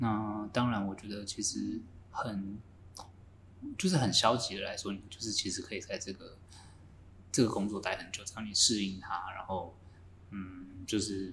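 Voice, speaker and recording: A man at a moderate pace, fairly low in pitch and flat, monotone in intonation, with long, frequent pauses, big swings in loudness and audible room echo. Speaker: semiconductor fab engineer. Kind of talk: casual chat.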